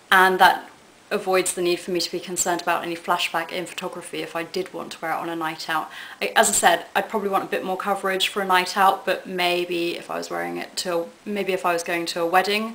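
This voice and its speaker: Over noticeable background noise, a woman with medium pitch talks at a very fast pace in a monotone, flat intonation. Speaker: beauty vlogger. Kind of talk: product review vlog.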